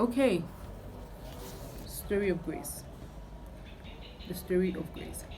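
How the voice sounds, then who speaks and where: With long, frequent pauses, a woman of medium pitch speaks at a very slow pace in a room with audible echo. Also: ordinary pitch variation. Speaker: youtuber. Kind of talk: testimony. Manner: casual, hesitant with fillers.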